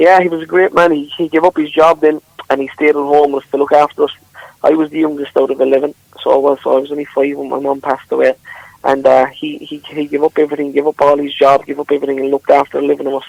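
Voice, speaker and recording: A man with a Limerick accent talks very fast at a fairly high pitch. His intonation is monotone and flat, and the sound is dry and close with no echo. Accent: Irish, Limerick. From Ireland, Newcastle West, County Limerick. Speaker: country singer. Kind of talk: radio interview.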